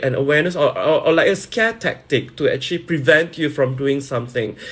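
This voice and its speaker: Speaking at a fairly quick pace, a man uses a fairly high, somewhat breathy voice. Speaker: live streamer and promoter. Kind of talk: casual live stream talk.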